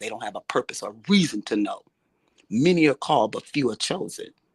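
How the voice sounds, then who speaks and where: A woman with a very deep, low pitch talks at a fairly quick pace, the sound dry and close with no echo. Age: 60s. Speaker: show host. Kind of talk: impassioned interview talk. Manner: animated.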